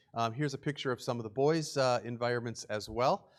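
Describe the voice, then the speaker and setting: A man talks at a very fast pace in an American accent. The recording is very clean, with a silent background. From West Virginia, Morgantown area. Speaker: charity presenter. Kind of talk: church presentation with slides. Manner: casual, filler-heavy speech.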